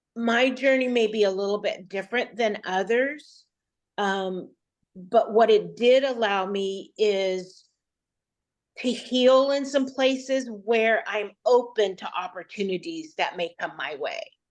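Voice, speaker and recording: A woman's fairly high voice, with ordinary pitch variation and a fairly slow pace. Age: 60s. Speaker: coaching participant. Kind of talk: interview. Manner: halting.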